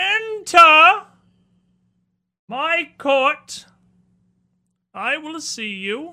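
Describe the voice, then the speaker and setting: In a high-pitched, put-on character voice, the speaker goes at a very slow pace with long, frequent pauses. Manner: commanding, ringing.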